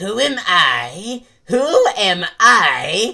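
A man speaks here. He uses a put-on character voice. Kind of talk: comic overacting. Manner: pompous, melodramatic, flustered.

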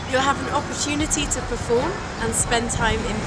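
Loud background noise runs throughout. A woman talks at a moderate pace over it. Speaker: spoken word artist. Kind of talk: promotional introduction to camera. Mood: calm, encouraging. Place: forest.

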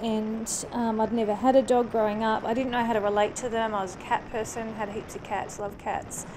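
A woman with a fairly high pitch talks in a flat monotone at a fairly quick pace, hardly pausing, while background noise is noticeable. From New Zealand. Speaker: motorcycle vlogger. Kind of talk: casual motovlog talk to camera. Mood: warm, personal storytelling. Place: motorbike. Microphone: helmet.

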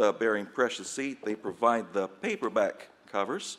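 At a moderate pace and with ordinary pitch variation, a man talks over noticeable background noise. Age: 40s. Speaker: missionary Bible publisher. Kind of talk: conference presentation.

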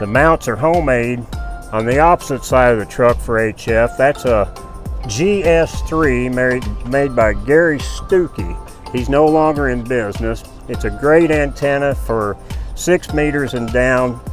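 Clear music sits behind a man who speaks at a fairly slow pace, and the sound is dry with no echo. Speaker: radio amateur. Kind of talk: interview answer. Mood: friendly, relaxed. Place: open country. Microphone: phone near.

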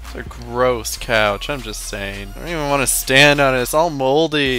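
A man at a moderate pace, dry with no echo, with music in the background. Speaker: gaming commentator. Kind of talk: casual gameplay commentary. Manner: casual, excitable. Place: home room. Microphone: headset.

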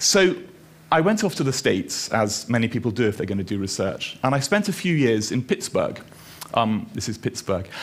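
Pitch swings very widely in this man's voice. He speaks at a moderate pace with an Edinburgh accent. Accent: Scottish (Edinburgh). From Scotland, Edinburgh. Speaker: dermatologist and researcher. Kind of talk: lecture. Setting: stage with audience. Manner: halting. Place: stage. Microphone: headset.

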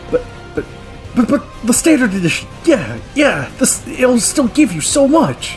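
Set against clear music in the background, a man does a put-on character voice at an extremely high pitch and a moderate pace. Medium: role play. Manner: casual, boastful.

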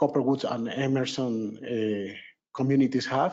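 A man speaks here. He has a medium pitch and a Venezuelan accent. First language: Spanish. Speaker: resident giving public comment. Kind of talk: public comment. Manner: halting non-native speech.

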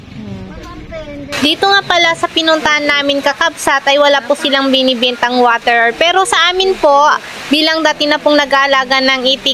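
Over noticeable background noise, a woman with a high pitch uses a raised, projected voice at a moderate pace with fairly even intonation. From Pangasinan, Philippines. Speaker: vlogger, duck farmer. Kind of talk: casual vlog narration.

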